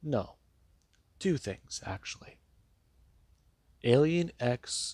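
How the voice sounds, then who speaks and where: A man talks in a soft-spoken, somewhat breathy way. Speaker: fan-fiction storyteller. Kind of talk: story narration. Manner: soft-spoken, talking lighter; pauses, cuts for breath.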